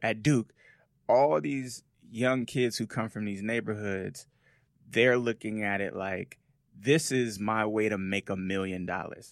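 In a normal speaking voice with an American accent, a man talks at a fairly slow pace and a fairly low pitch with ordinary pitch variation, on a very clean recording with a silent background. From Las Vegas, Nevada, US. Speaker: business journalist. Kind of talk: casual chat.

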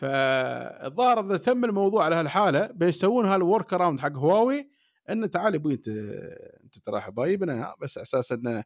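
In an Emirati accent, a man with a high pitch talks at a moderate pace, making very wide pitch swings and big swings in loudness over a quiet background. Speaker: podcast co-host, engineer. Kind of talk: casual chat.

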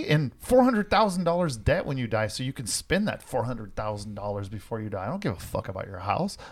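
The recording is very clean, with a silent background. A somewhat breathy man of medium pitch speaks with very wide pitch swings. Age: 50s. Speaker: podcast co-host. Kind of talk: casual chat. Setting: studio. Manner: animated.

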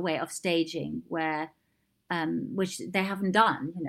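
This is a woman speaking. She has a German accent. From East Germany. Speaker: theatre designer. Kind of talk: interview. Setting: remote recording during lockdown.

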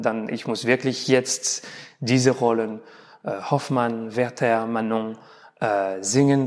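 Speech with a non-native accent comes at a very slow pace with fairly even intonation. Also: man. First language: not German (speaking German). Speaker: opera tenor. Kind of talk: interview. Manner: halting.

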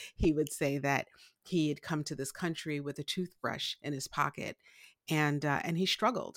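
A woman with a New York accent and a very deep, low pitch speaks at a moderate pace with fairly even intonation, on a very clean recording with a silent background and a dry, close sound with no echo. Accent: New York American. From Brooklyn, New York. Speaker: life strategist. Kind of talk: interview.

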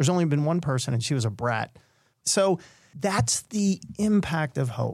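A man's fairly high, somewhat breathy voice carries lively intonation. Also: moderate pace, very even loudness. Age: 50s. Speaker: mental health speaker and storyteller. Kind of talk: storytelling interview.

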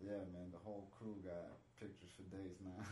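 A man with a very deep, low pitch speaks with fairly even intonation, with audible room echo and noticeable background noise. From Mexico. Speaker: Muay Thai fighter. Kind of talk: casual interview chat. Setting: studio.

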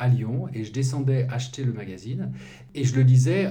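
Audible room echo surrounds a man whose voice is somewhat breathy with a dark, mellow tone. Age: 60s. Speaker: journalist and activist. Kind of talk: interview. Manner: halting.

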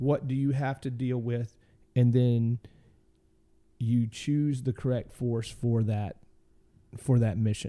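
Very clean and silent in the background, this recording has a man with a Southern US accent at a medium pitch. His dark, mellow tone carries fairly even intonation at a very slow pace. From Arkansas, US South. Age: 40s. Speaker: military veteran. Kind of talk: casual interview.

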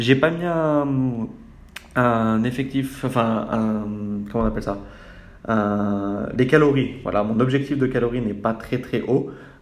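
Audible room echo surrounds a man speaking at a medium pitch. He goes at a very slow pace. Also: ordinary pitch variation. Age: 20s. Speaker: podcaster. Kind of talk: personal monologue. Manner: hesitant, many fillers.

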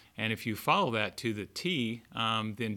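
A man speaks at a medium pitch with a bright, sharp tone, recorded very cleanly against a silent background. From US South, born Texas, raised Arkansas. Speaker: retail chain operations director. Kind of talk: casual interview.

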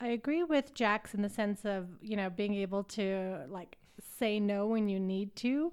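In a Canadian accent and an unremarkable speaking voice, a woman speaks at a medium pitch and a fairly slow pace with lively intonation. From Canada, Calgary, Alberta. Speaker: intern with a law background. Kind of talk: interview.

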